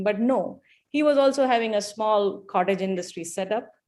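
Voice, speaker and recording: With a Malayali accent, a woman talks at a fairly quick pace on a very clean recording with a silent background. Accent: Malayalam. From India. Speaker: event speaker, donor. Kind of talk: speech.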